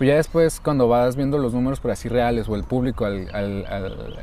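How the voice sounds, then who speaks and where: A man's medium-pitched voice moves at a moderate pace, its pitch varying in an ordinary way, with noticeable background noise behind it. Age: 20s. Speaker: podcast co-host, university student. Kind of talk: casual chat.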